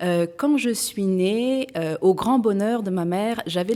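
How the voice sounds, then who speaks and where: Her voice has a dark, mellow tone at a medium pitch as the woman speaks at a fairly slow pace on a very clean recording with a silent background. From France. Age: 40s. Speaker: entrepreneur. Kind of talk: testimony. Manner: hesitant, frequent fillers.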